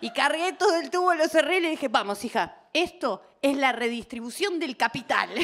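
This woman talks at a moderate pace with hardly any pauses, her high pitch carried by lively intonation. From Argentina, Buenos Aires. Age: 40s. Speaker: comedian. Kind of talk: stand-up. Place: stage. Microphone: handheld.

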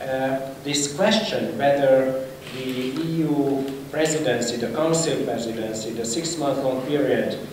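A man at a fairly slow pace with fairly even intonation, amid light background noise and audible room echo. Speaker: speaker. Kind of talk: conference panel talk. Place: hall. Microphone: podium.

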